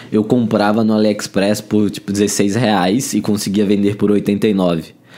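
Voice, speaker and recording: A man with a São Paulo accent speaks at a fairly slow pace and medium pitch. Background noise is noticeable. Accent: sounds like São Paulo. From Brazil, Alagoas. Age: 20s. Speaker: marketing head. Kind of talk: interview. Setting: event venue.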